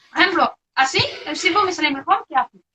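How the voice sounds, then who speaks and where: Intonation lively, a woman talks at a fairly brisk speed. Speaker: researcher. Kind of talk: interview. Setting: video call. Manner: halting.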